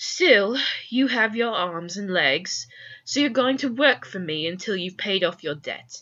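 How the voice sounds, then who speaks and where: A put-on character voice, female-sounding, at medium pitch for a woman and a fairly slow pace. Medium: read story. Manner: irritable, snappish.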